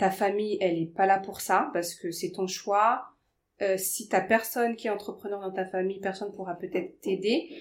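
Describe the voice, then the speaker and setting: A woman with a plain, everyday voice speaks at a medium pitch and moderate pace with fairly even intonation. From Paris suburbs, France. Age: 30s. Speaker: life coach. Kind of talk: casual interview.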